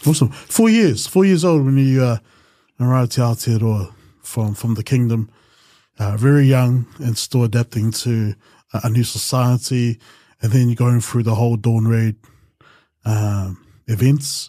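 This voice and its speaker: A man with a New Zealand accent talks at a moderate pace in a dark, mellow tone, with ordinary pitch variation and long, frequent pauses, the sound dry with no echo over a quiet background. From New Zealand, Pacific Islander community. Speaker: podcast host. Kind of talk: podcast interview. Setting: studio with camera. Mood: warm, calm. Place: studio. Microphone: studio mic.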